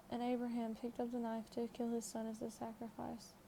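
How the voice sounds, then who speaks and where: Soft-spoken and monotone, a woman talks at a moderate pace in a fairly high pitch with flat intonation. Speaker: ASMR content creator. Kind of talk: ASMR Bible reading. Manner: soft-spoken, quiet.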